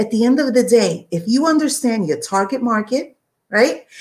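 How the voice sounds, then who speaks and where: A somewhat breathy woman with a New York accent, at a moderate pace. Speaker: online business coach. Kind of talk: live stream talk. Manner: conversational, tangential.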